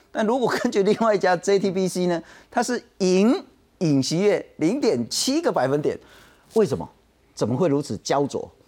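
With a Taiwanese accent, a man speaks at a moderate pace in a high pitch with very wide pitch swings on a very clean recording with a silent background. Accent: Taiwanese Mandarin. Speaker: talk show host. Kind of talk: political talk show. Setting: studio.

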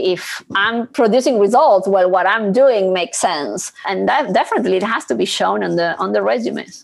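Speaking at a moderate pace and a medium pitch, a woman with a Spanish accent is heard over noticeable background noise. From Argentina. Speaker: corporate treasury executive. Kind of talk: interview.

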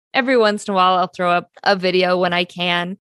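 A woman's medium-pitched voice in a Pacific Northwest accent, with a dry, close sound and no echo. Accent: General American (Pacific Northwest). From US Pacific Northwest. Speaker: actor and author. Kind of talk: interview.

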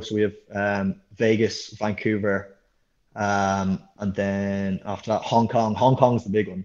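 In an Irish accent, a man speaks at a fairly slow pace against a quiet background. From Ireland, Dublin area. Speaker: professional rugby sevens player. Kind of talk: interview.

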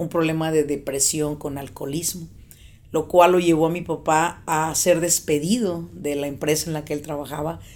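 The speaker talks at a moderate pace with a Mexican accent. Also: woman. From Mexico, Michoacán. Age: 40s. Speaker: business coach. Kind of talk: interview.

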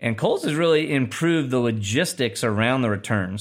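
A man talks at a moderate pace in a normal speaking voice with ordinary pitch variation. The recording is very clean, with a silent background. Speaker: podcast host. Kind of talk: casual news discussion.

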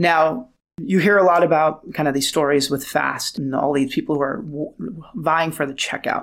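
A man with an American accent and a normal speaking voice, fairly high in pitch, with ordinary pitch variation and a moderate pace, on a very clean recording with a silent background. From Lebanese-Armenian, raised in Los Angeles. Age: 40s. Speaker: tech founder and venture investor. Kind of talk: interview.

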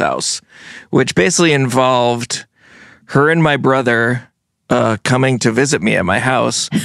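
In a very clean recording with a silent background, a man with a plain, everyday voice and an American accent speaks at a fairly slow pace, with ordinary pitch variation. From US Northeast, Vermont and New Jersey. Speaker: musician. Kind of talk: casual chat.

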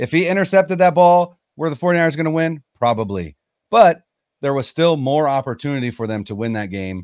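A man with an American accent and fairly high pitch talks at a moderate pace with very wide pitch swings against a quiet background. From Northern California. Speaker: sports podcaster. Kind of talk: casual interview. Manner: hesitant fillers.

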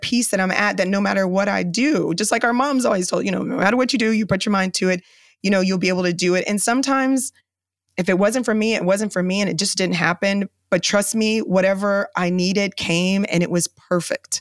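A woman's unremarkable speaking voice, medium in pitch with ordinary pitch variation, very even in loudness and fairly quick, on a very clean recording with a silent background. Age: 40s. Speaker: business owner. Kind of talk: interview.

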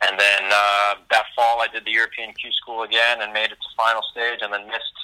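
With an American accent, the speaker delivers the words in a flat monotone, hardly pausing at all. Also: man. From US, New York area. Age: young. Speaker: professional golfer. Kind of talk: interview.

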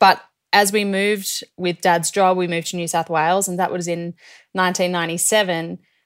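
A woman's medium-pitched voice with an Australian accent, fairly quick and in a monotone, flat intonation, on a very clean recording with a silent background. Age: 30s. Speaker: professional ski cross athlete. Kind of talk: interview conversation.

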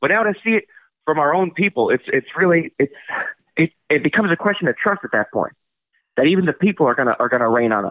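A man talks at a very fast pace in a high pitch with lively intonation. Long pauses interrupt him often. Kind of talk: radio call-in, absurdist rant. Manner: stammering, indignant and earnest, halting with repeated words.

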